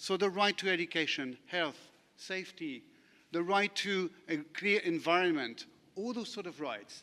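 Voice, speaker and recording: In a French accent, a man speaks fairly slowly at a high pitch with a bright, sharp tone, on a very clean recording with a silent background. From France. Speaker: lawyer. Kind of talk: conference panel talk. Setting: conference session with audience.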